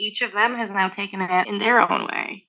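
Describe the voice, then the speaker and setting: A woman with a slight East Coast Canadian accent, at a moderate pace. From Nova Scotia, Canada (Halifax). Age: 30s. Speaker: flow artist and instructor. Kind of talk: casual interview chat. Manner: casual, many fillers like um and like.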